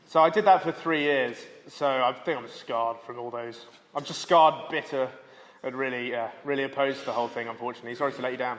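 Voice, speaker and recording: A man at medium pitch, very fast pace and ordinary pitch variation. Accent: English. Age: 20s. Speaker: comedian. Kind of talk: casual chat. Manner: animated.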